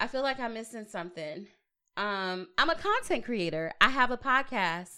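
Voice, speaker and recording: A woman with an American accent speaks in an animated, bright, sharp tone at a moderate pace. Her fairly high pitch swings very widely, and her loudness rises and falls a lot. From Long Beach, Los Angeles area, California. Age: 30s. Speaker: podcast host and entrepreneur. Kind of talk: casual chat. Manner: animated, frequent laughter.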